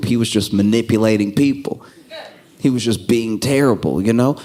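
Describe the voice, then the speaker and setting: Against noticeable background noise, the words come at a moderate pace. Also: man. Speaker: stand-up comedian. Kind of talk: stand-up comedy set. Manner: calm.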